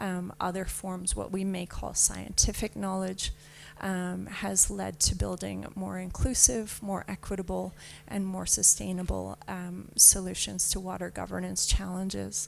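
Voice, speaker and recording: Speaking with a Canadian accent, a woman keeps a fairly slow pace. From Canada. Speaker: panelist. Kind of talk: panel discussion.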